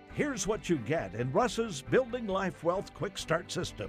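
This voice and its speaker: A man's upbeat tone with very wide pitch swings, over music in the background. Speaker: announcer. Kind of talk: TV infomercial voice-over. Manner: upbeat, hard-sell.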